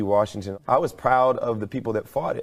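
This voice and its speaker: Fairly quick in pace, a man with an American accent uses an ordinary speaking voice. The recording is very clean, with a silent background. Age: 30s. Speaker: interviewee. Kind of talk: interview.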